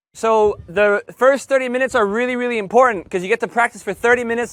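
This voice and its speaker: Loud and extremely high-pitched, a man talks at a very fast pace in a dry, close sound with no echo. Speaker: Spanish teacher. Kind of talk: lecture. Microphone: no microphone.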